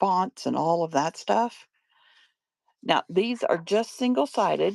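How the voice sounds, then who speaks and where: Very slowly and at medium pitch, a woman speaks with lively intonation, vocal fry and very even loudness, on a very clean recording with a silent background and a dry, close sound with no echo. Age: 60s. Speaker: online paper craft seller. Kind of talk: live selling stream. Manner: casual, chatty.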